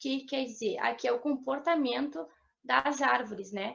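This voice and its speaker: The speaker is a woman with a high pitch. She talks fairly slowly. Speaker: forestry student presenter. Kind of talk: student seminar presentation.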